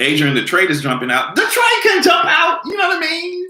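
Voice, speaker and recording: Animated in tone, a man speaks at a moderate pace amid audible room echo. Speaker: commentary video host. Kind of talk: casual vlog commentary.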